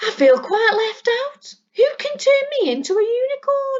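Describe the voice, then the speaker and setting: Her put-on character voice is squeaky and extremely high. The woman keeps to a moderate pace. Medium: read story. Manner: warm, chuckling.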